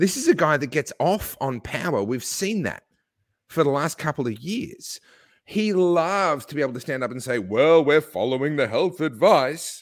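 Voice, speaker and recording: This man has an Australian accent and a fairly high pitch. He talks at a moderate pace with lively intonation. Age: 40s. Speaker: podcast guest. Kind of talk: casual chat. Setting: video call.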